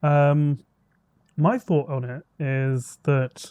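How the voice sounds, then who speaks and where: This voice has a dark, mellow tone and a British accent, recorded with a dry, close sound and no echo. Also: man. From Britain. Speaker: podcast co-host. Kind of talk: casual chat. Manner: animated.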